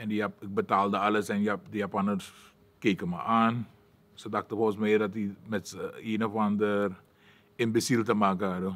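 This man talks at a moderate pace in a fairly low pitch, his intonation flat and monotone. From Suriname. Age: 60s. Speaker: martial arts fighter; interviewee. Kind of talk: personal life story monologue; interview answer. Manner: halting, many filler sounds. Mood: calm, reflective, encouraging. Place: studio.

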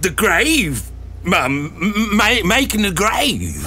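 A man speaks at a very slow pace in a put-on character voice, high-pitched and raised and projected, with clear background noise behind him. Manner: nervous, stammering, deferential.

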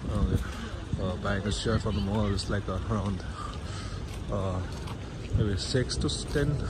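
A man's voice over loud background noise. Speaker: vlogger giving a market tour. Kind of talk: casual vlog chat. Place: market. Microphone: phone near.

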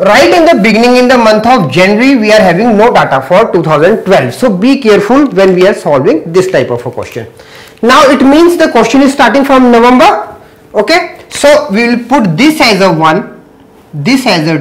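A man speaks at a high pitch with very wide pitch swings. His pace is moderate. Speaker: teacher. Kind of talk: lecture. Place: classroom.

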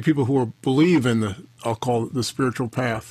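A man talks at a fairly quick pace in a somewhat breathy voice. The sound is dry with no echo, over a quiet background. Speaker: podcast host. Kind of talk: interview. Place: office.

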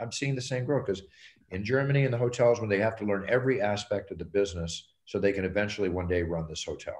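A man talks very fast with a fairly low pitch, ordinary pitch variation and a somewhat breathy voice. He sounds confident, and the background is quiet. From United States. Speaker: UFC octagon announcer and businessman. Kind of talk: interview answer, business advice. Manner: confident, conversational. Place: home room. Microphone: video call.

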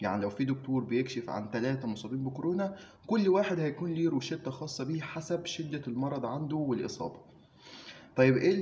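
A moderate pace with light background noise. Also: man. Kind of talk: informative talk to camera. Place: office. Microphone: phone near.

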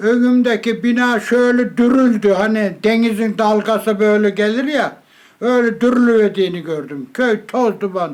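A man talks very slowly at a high pitch with ordinary pitch variation. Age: 80s+. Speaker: former village headman, earthquake survivor. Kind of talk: interview answer.

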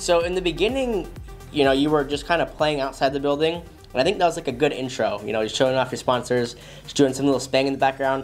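Faint music plays behind a man as he talks. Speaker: FPV drone channel host. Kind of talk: commentary. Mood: enthusiastic, relaxed. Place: studio.

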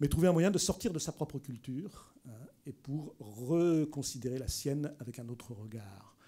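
A man speaks at a moderate pace in a dark, mellow, somewhat breathy tone. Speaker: anthropologist and prehistorian giving a lecture; prehistorian giving a lecture. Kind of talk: public lecture. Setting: library lecture hall with audience. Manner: lively. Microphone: podium.

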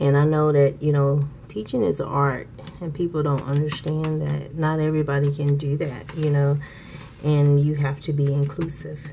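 A woman's very deep, low voice, monotone and flat, at a moderate pace over noticeable background noise. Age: 40s. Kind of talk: casual talk to camera.

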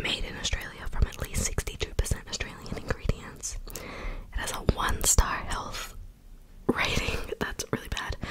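A soft-spoken woman whispers at a moderate pace, with big swings in loudness. Noticeable background noise is present. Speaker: mukbang video creator. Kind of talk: casual vlog chat. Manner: soft whispered ASMR voice. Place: home room. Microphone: studio mic.

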